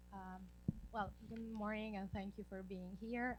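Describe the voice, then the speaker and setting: A woman talks at a moderate pace with audible room echo around her. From Italy. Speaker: graduate student and project coordinator. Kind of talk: conference presentation.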